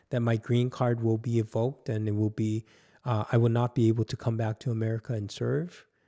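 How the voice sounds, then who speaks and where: A man with a Korean accent speaks at medium pitch and a moderate pace, his tone dark and mellow. The recording is very clean with a silent background and a dry, close sound with no echo. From South Korea. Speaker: pastor. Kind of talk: personal testimony; devotional teaching talk.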